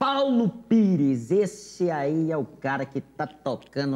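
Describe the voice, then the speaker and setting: Noticeable background noise accompanies a man with a fairly high pitch who speaks at a very slow pace with very wide pitch swings. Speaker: talk show host. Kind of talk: casual chat. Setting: studio. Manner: animated.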